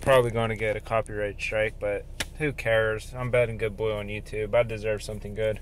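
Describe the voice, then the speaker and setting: Over light background noise, a man talks at a fairly quick pace in a monotone, flat intonation, with a dry sound that has no echo. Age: 20s. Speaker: car owner. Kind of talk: casual car tour talk to camera. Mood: relaxed, proud.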